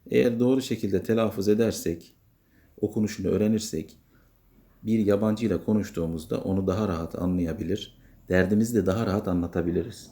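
Fairly quick and fairly low in pitch, a man speaks with a dark, mellow tone and fairly even intonation. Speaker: English teacher. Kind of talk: tutorial.

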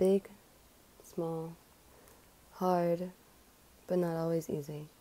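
A woman speaks in a dark, mellow tone. Her pace is very slow. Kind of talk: poetry reading.

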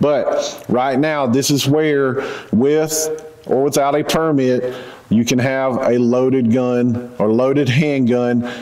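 A man speaks at a very slow pace with fairly even intonation and very even loudness, his voice carrying audible room echo. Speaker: firearms instructor. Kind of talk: lecture.

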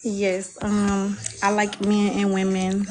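Music plays behind a woman as she talks. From US South. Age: 30s. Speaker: dating show participant, mother, financial services businesswoman. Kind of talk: casual chat. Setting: video call on a livestream. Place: home room. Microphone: phone near.

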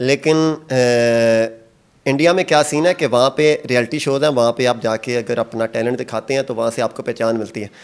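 A man with an unremarkable speaking voice keeps a medium pitch, a moderate pace and ordinary pitch variation. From Pakistan, rural Punjab. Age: 30s. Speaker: singer and charpai weaver; interviewee. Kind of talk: casual interview. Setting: outdoors in a village. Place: workshop. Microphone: handheld.

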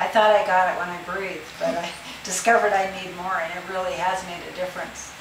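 A woman speaks very rapidly, her voice echoing in the room over noticeable background noise. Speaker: fibromyalgia patient. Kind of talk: interview answer. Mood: upbeat, pleased. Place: home room. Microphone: camera far.

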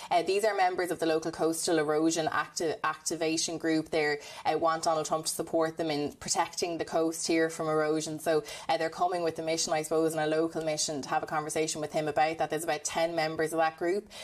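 Talking very fast with hardly any pauses, a woman with an Irish accent keeps a fairly low pitch, very even loudness and monotone, flat intonation. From Ireland. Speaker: news reporter. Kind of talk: live news report. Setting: on location, remote link. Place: home room. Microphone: lapel.

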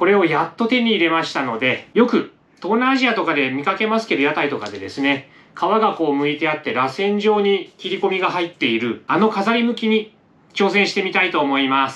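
A man's high-pitched voice at a fairly quick pace. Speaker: home cooking vlogger. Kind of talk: tutorial. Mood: cheerful and relaxed. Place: home room. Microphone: camera far.

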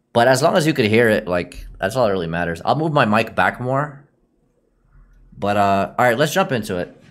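A man at a medium pitch speaks at a fairly quick pace, with very wide pitch swings. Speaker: streamer reacting to videos. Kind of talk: livestream reaction chat. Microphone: studio mic.

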